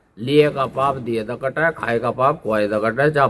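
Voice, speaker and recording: An ordinary speaking voice from a man, ordinary in pitch variation too. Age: 50s. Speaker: religious leader. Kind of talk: interview.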